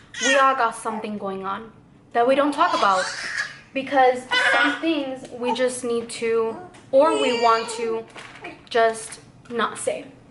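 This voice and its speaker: Through noticeable background noise and audible room echo, a woman with a fairly high pitch speaks at a fairly slow pace with fairly even intonation. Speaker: vlogger, new mother. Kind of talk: emotional personal vlog.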